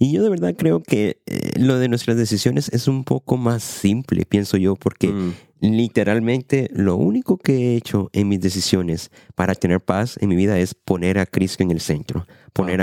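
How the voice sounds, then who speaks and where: A man speaks at a moderate pace with a fairly low pitch, ordinary pitch variation and a dark, mellow tone. His loudness stays very even, and the sound is dry and close with no echo. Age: 20s. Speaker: podcast host, church worker. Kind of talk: casual chat about faith.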